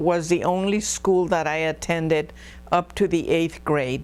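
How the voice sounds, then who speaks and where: With a Spanish accent, a woman speaks at a very slow pace and a fairly low pitch. Her intonation stays fairly even. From Texas, San Marcos area. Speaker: oral history interviewee, former school board member. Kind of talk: oral history interview. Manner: hesitant, many fillers.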